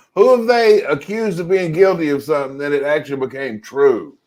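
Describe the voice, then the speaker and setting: A fairly quick pace drives the speech. Its intonation rises and falls in a lively way. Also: man. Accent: Southern US. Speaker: podcast co-host. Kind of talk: casual chat.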